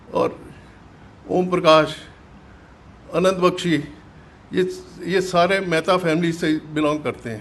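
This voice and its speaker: A man's high voice with fairly even intonation and long, frequent pauses. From Pakistan, Jhelum district (West Punjab). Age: 80s+. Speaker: partition survivor, businessman. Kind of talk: testimony. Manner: halting.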